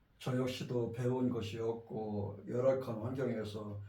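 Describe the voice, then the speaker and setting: A man's voice with audible room echo. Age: 60s. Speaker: pastor. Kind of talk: sermon. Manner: halting.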